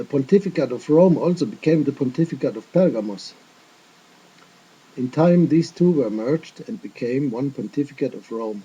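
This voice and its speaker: A man with a non-native accent speaks at a moderate pace in a fairly high, somewhat breathy voice. His intonation is lively and his loudness swings widely. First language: not English. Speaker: religious video teacher. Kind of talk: casual chat; lecture. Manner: careful non-native phrasing.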